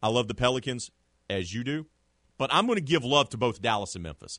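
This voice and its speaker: A man with vocal fry at a very fast pace, in a dry, close sound with no echo. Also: quiet background. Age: 40s. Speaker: sports podcast host. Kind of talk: casual sports talk.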